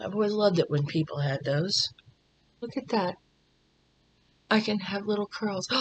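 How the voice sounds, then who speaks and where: A woman at medium pitch talks at a moderate pace with lively intonation, a somewhat breathy voice and long, frequent pauses. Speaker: beauty and lifestyle vlogger. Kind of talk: hair tutorial. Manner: casual, chatty.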